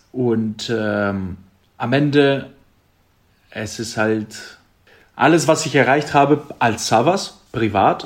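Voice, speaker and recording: A man with a Greek accent and a medium pitch, speaking at a very slow pace with long, frequent pauses and ordinary pitch variation. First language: Greek (speaking German). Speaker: handball player. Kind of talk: casual interview. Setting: video call.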